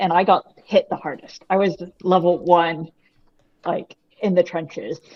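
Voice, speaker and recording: This voice has a Boston accent. The pace is moderate. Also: woman. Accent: American (Boston). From US. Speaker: author, identity theft victim. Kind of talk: interview.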